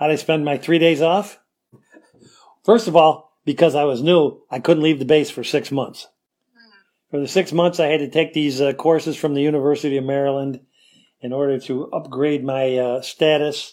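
This man has a Western New York accent and a fairly high pitch. He talks at a moderate pace with fairly even intonation. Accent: Western New York American. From US Northeast (Rochester, New York). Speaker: retired police officer and Air Force veteran. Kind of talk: interview storytelling. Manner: rambling, with many fillers.

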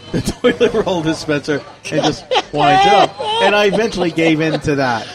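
With crowd noise behind him, a man with a fairly high pitch talks at a moderate pace. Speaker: podcast co-host. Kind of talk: casual chat. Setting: cafe.

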